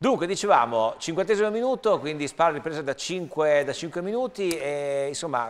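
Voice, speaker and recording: A man with a fairly high pitch talks at a moderate pace with hardly any pauses. His pitch swings very widely. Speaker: TV show host; TV sports show host. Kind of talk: live sports commentary. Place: studio. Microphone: lapel.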